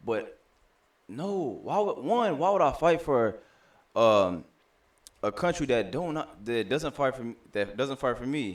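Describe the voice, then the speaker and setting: Speaking at a fairly slow pace with long, frequent pauses, a man at a medium pitch makes very wide pitch swings. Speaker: podcast co-host. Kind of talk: casual chat. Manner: halting.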